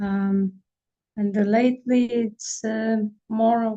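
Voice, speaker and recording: A woman's voice has a dark, mellow tone and sounds somewhat breathy. She speaks at a very slow pace. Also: dry, close sound with no echo. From Siberia, Russia. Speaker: family constellation practitioner. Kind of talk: casual chat.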